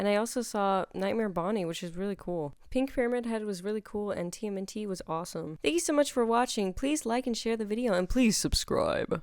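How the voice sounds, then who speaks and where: In a very clean recording with a silent background, a woman speaks with a fairly high pitch at a fairly quick pace, with hardly any pauses. She has an ordinary speaking voice and lively intonation. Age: 18. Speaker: cosplay prop maker, YouTuber. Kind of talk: tutorial voice-over. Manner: casual, chatty.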